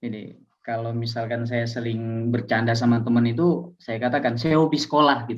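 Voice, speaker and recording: Speaking at a fairly quick pace, a man with a Medan accent keeps a medium pitch and fairly even intonation. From Aceh, Indonesia. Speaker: Islamic teacher and doctoral student. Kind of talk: casual interview.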